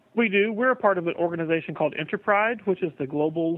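A man with a high pitch and ordinary pitch variation speaks at a very fast pace. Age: young. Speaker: pride festival director. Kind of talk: interview.

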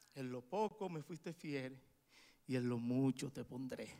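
A man speaks at a medium pitch in a Dominican accent. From Dominican Republic. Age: 40s. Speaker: preacher. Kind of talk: sermon. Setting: church.

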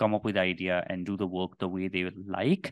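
His delivery is monotone, with flat intonation. The man's voice sounds dry and close with no echo, over a quiet background. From India. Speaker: podcaster and studio co-founder. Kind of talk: interview.

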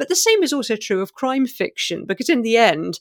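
In a very clean recording with a silent background, a woman speaks with a British accent, the sound dry and close with no echo. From England, Maltese family. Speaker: novelist. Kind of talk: interview.

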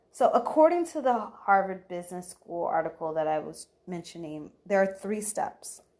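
Speaking at a fairly slow pace, a woman has a plain, everyday voice at medium pitch. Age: 30s. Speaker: podcast host and career development professional. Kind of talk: solo podcast monologue. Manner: casual, with laughs.

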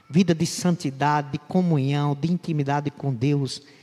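Somewhat breathy, fairly high male voice on a very clean recording with a silent background. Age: 60s. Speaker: pastor. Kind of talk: sermon.

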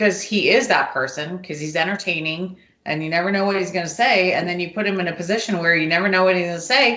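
A woman talks at a fairly quick pace. Her voice is fairly low, with ordinary pitch variation. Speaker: mother of the hosts. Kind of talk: casual chat. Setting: home, family gathering.

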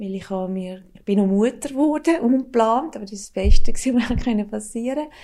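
Here a woman speaks at a fairly quick pace with a dark, mellow tone. Her loudness swings a lot. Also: fairly high pitch for a woman, ordinary pitch variation. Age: 50s. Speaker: former drug addict with schizophrenia. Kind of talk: personal testimony interview.

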